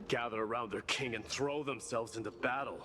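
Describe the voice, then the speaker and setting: A man growls through a put-on character voice at a medium pitch and a fairly quick pace. Clear background noise runs underneath. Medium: video game. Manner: grave, steady.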